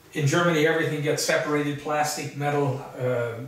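A man speaks with strong room echo around his voice. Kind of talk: casual home tour. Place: kitchen.

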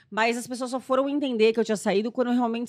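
The background stays quiet. Against it, a woman talks fairly quickly. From Brazil, Santo André (São Paulo); São Paulo, Brazil. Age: 30s. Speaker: actress and youtuber; actress, youtuber. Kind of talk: casual chat. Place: studio. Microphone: studio mic.

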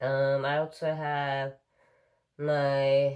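A woman speaks with a very deep, low pitch. The background is quiet. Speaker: daily vlogger. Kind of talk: casual vlog chat. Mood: relaxed, laughing at times. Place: home room. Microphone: phone near.

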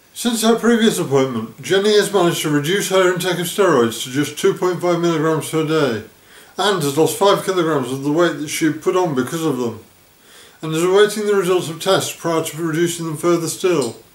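There is audible room echo as a man with a high pitch talks at a fairly quick pace. His pitch variation is ordinary. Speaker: vlogger. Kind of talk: narrated vlog account. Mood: serious, earnest. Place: home room.

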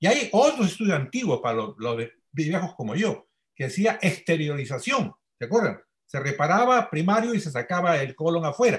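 A man with a high pitch speaks at a moderate pace. His pitch swings very widely over a quiet background. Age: 80s+. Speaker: senior trauma surgeon; panelist. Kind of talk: panel discussion. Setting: video call. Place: home room. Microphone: webcam.

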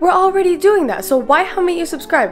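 Speech rushes by at a very fast pace with clear music in the background. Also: woman. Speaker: vlogger. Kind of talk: casual vlog chat. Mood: teasing, joking. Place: home room.

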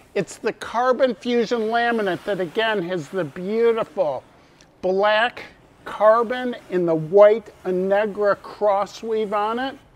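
A man speaks at a slow pace with few pauses. His pitch is high. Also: ordinary pitch variation.

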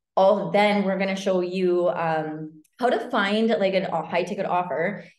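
A woman speaks at a fairly slow pace with fairly even intonation. The background is quiet, but audible room echo is present. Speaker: online business coach. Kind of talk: webinar presentation. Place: home room. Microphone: webcam.

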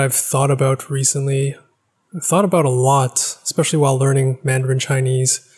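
Somewhat breathy speech comes at a fairly quick pace over a quiet background. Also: man. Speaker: language-learning YouTuber. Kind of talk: casual vlog monologue. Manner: hesitant, many filler words. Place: home room. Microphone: studio mic.

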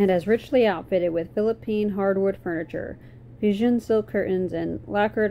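Ordinary pitch variation marks a natural reading voice throughout.

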